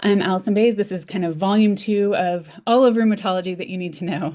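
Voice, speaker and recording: A woman talks at a medium pitch with a dark, mellow tone. Her pace is fairly quick, her pitch variation ordinary, and the background quiet. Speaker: physician, rheumatology lecturer. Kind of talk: lecture. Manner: fast; halting with many fillers.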